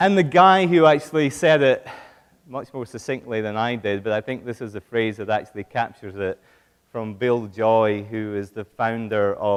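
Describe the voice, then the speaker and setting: The voice has a British accent. It moves at a moderate pace. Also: man. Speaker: business executive, keynote speaker. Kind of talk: conference keynote. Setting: stage with audience.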